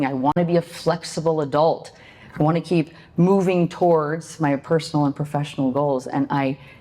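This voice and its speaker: Over noticeable background noise, a woman with a very deep, low pitch speaks at a fairly quick pace with very even loudness. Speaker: motivational speaker. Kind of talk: motivational talk. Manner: animated.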